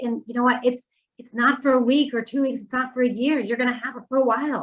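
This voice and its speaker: Very fast and monotone with flat intonation, a woman with an American accent speaks at a high pitch. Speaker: mortgage lender. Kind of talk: presentation.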